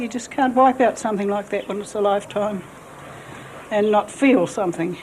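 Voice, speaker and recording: Over noticeable background noise, a woman with a New Zealand accent speaks at a medium pitch with fairly even intonation. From New Zealand, Central Otago. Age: 60s. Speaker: local resident. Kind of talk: interview.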